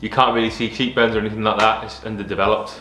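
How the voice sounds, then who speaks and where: Music plays in the background as a man speaks at medium pitch, with audible room echo. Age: 30s. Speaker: vlogger documenting health journey. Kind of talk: personal vlog. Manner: hesitant, many fillers and repetitions.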